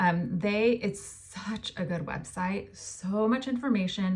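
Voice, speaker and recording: This woman has an unremarkable speaking voice at a medium pitch, with ordinary pitch variation. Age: 40s. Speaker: podcast host, holistic health coach. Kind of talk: solo podcast monologue.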